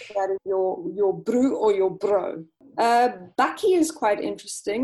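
With a South African accent, this voice has a dark, mellow tone and swings very widely in pitch. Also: woman. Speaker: English teacher. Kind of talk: casual chat.

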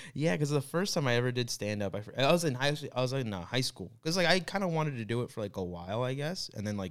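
A man speaks very fast with an American accent, his medium-pitched voice swinging very widely in pitch and hardly pausing at all. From Florida, US. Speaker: comedian. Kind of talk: casual chat.

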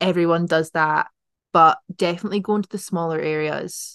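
The sound is dry and close with no echo as a woman speaks at a fairly low pitch with fairly even intonation. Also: quiet background. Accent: Edinburgh. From Scotland, Edinburgh. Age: 20s. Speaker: journalism student. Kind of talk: casual chat. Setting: in person at university.

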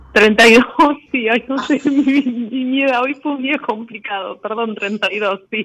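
Noticeable background noise is present. The talking goes at a very slow pace. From Buenos Aires, Argentina. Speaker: caller. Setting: phone call.

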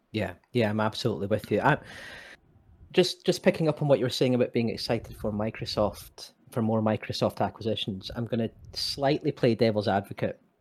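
Someone talks at a fairly quick pace with a Scottish accent. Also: man, medium pitch for a man, ordinary pitch variation. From Scotland. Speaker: podcast co-host. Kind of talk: casual chat.

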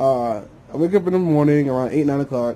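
A man speaks at a fairly high pitch with ordinary pitch variation. His tone is dark, mellow, and somewhat breathy. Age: 20s. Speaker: vlogger and DJ. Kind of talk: casual monologue vlog. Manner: mumbling when lazy; rambling, with many fillers.

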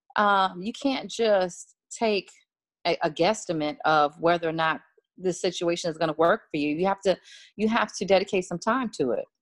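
A normal speaking voice from a woman at medium pitch and moderate pace, with ordinary pitch variation, on a very clean recording with a silent background and a dry, close sound with no echo. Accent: American. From Washington, D.C. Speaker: music publicist and author. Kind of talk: casual interview chat.

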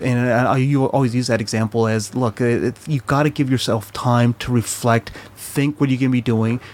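A man with an American accent speaks at a medium pitch and a moderate pace. There is noticeable background noise. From Chile, raised in the US. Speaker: immigrant father living in New Zealand. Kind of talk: casual chat. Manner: halting.

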